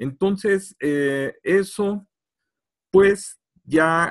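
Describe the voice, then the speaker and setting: A man speaks against a quiet background. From Mexico. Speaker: archaeologist; presenter. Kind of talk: lecture. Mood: friendly, engaging. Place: home room. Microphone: video call.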